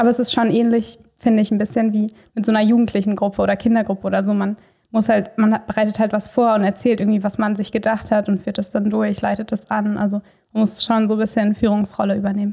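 Speaking very fast with very even loudness, a woman uses a fairly high, somewhat breathy voice with a dark, mellow tone and monotone, flat intonation, recorded very cleanly against a silent background. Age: 20s. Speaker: trainee kindergarten teacher. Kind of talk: casual interview conversation.

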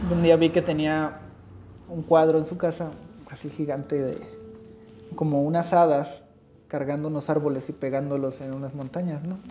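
With music in the background, a man speaks in a fairly high pitch and a monotone, flat delivery, leaving long, frequent pauses amid big swings in loudness. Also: moderate pace. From Mexico, Huasteca region of San Luis Potosí. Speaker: industrial designer and leather goods maker. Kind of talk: casual interview.

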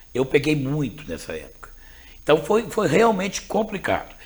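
Here a man talks at a moderate pace. His voice is somewhat breathy, with very wide pitch swings. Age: 50s. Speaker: school principal. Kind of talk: interview conversation.

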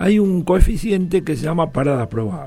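A man's voice against noticeable background noise. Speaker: elevator engineer. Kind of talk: radio interview.

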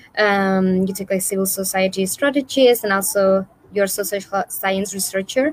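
A woman with a medium pitch and fairly even intonation speaks at a moderate pace against noticeable background noise. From Spain. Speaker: webinar host. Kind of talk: interview. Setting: live online stream.

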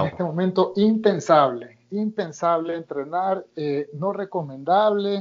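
Ordinary pitch variation marks this speech, delivered at a fairly slow pace. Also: man. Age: 30s. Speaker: martial arts instructor. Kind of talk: interview.

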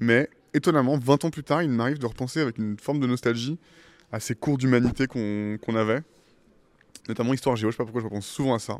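A man speaks very fast at medium pitch with ordinary pitch variation, leaving long, frequent pauses. The sound is dry and close with no echo, on a very clean recording with a silent background. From France (Paris and Île de Ré). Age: 30s. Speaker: tech startup CEO. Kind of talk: interview.

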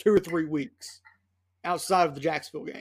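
In a very clean recording with a silent background, a man speaks at a high pitch with an animated tone. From Tennessee. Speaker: podcast host. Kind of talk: casual sports podcast.

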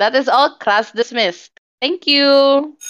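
Over music in the background, the voice moves at a very slow pace with ordinary pitch variation. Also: woman. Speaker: podcast host. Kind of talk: casual chat.

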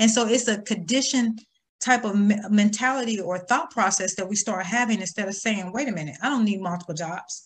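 A somewhat breathy woman talks at a fairly quick pace with an American accent. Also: medium pitch for a woman, ordinary pitch variation. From US Midwest, small town. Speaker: financial coach. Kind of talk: interview.

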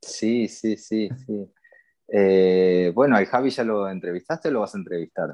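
This man has an unremarkable speaking voice with a fairly low pitch. He speaks at a fairly slow pace with ordinary pitch variation. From Argentina, Buenos Aires. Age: 40s. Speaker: tattoo artist. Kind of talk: interview.

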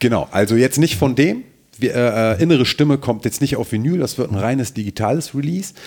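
Here is a man with an unremarkable speaking voice and medium pitch. He speaks at a fairly quick pace with ordinary pitch variation. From Germany, Mönchengladbach-Rheydt (Lower Rhine). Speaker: rapper and lyricist. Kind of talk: casual interview.

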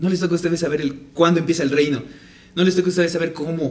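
A man speaks in a room with audible echo. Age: 20s. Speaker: Bible podcast co-host. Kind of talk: casual Bible discussion.

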